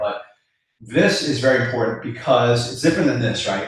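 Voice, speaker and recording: Audible room echo colors the recording. A man talks very fast. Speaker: business coach. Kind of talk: live webinar.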